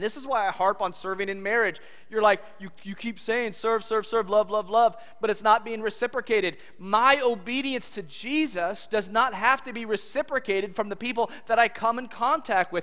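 In an American accent, a man with a high pitch projects his raised voice at a moderate pace, with ordinary pitch variation and big swings in loudness. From California. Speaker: pastor. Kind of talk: sermon. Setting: church. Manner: animated.

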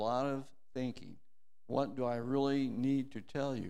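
A man's medium-pitched voice with a dark, mellow tone, a moderate pace and audible room echo. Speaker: church elder and Marine veteran. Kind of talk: communion meditation. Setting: church.

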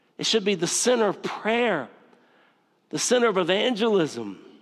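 A man with a Southern US accent talks at a fairly slow pace in a high pitch, his intonation lively. The recording is very clean, with a silent background. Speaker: pastor. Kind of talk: sermon. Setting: church.

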